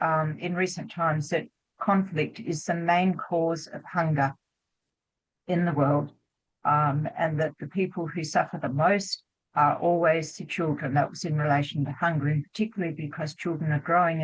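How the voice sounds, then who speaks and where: A woman with a very deep, low voice talks at a moderate pace, her intonation fairly even. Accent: Australian. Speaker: doctor, anti-war medical association president. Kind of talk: panel discussion. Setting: video call webinar. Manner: hesitant.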